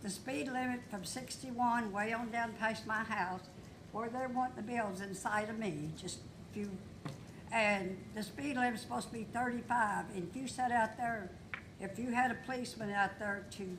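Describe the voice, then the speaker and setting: A woman with a Kentucky accent talks at a moderate pace, fairly high in pitch with ordinary pitch variation. Noticeable background noise and audible room echo are present. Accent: Kentucky Southern US. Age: 80s+. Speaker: local resident speaking at public comment. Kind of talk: public comment at council meeting. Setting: city council meeting.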